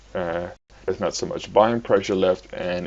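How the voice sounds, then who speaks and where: This man speaks with a non-native accent. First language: not English. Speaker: crypto trading analyst. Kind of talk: tutorial. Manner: halting, many fillers.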